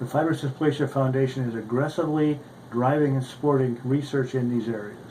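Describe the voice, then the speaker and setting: In a plain, everyday voice, a man speaks at a medium pitch and fairly quick pace with fairly even intonation. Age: 60s. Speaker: orthopedic surgeon and patient advocate. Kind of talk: prepared testimony statement. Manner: formal.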